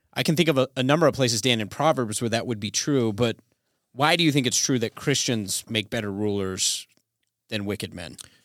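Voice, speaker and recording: An unremarkable speaking voice moves at a fairly quick pace with ordinary pitch variation on a very clean recording with a silent background. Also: man, medium pitch for a man. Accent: American. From Colorado, US. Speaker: podcast co-host. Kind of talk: casual theological discussion.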